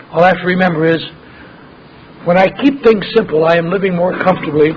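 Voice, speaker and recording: Through noticeable background noise, a man talks at a fairly quick pace in a high voice. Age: 60s. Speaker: AA speaker. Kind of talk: recovery talk.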